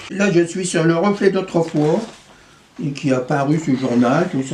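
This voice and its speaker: At a very slow pace, a man speaks over noticeable background noise. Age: 80s+. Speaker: local historian. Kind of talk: interview. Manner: halting, many hesitations and restarts.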